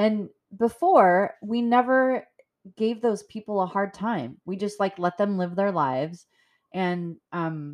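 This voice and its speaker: The setting is quiet. A female speaker talks in an American accent. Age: 40s. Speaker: podcast host. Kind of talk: solo monologue podcast. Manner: frequent filler words.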